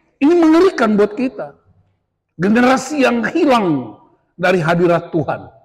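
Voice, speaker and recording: A man talks at a moderate pace in an animated tone, his pitch high and swinging very widely. The background is quiet. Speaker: pastor. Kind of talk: sermon. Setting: church retreat with audience. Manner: loud. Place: hall.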